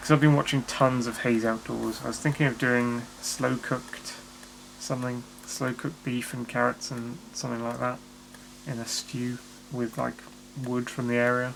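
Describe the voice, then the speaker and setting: Quietly and at a moderate pace, a man speaks with monotone, flat intonation. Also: medium pitch for a man. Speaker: vlogger. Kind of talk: casual vlog monologue. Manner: quiet, words blurring together.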